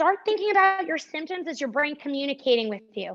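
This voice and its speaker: At a fairly quick pace, the speaker uses an upbeat tone and lively intonation in a New Jersey accent. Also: woman. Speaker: pilates instructor. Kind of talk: fitness class instruction. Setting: live stream class. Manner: upbeat, encouraging.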